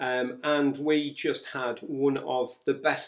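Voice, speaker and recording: A man with an English accent and a medium-pitched voice. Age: 50s. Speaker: retired teacher and travel vlogger. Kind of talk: casual travel chat.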